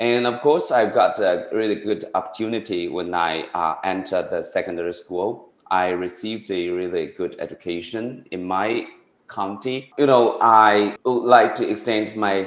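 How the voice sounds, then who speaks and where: A man with a Chinese accent speaks in a fairly low voice, with hardly any pauses. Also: ordinary pitch variation, moderate pace. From rural China. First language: Mandarin Chinese. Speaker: tutoring business owner, former teacher. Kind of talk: interview. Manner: halting, many fillers.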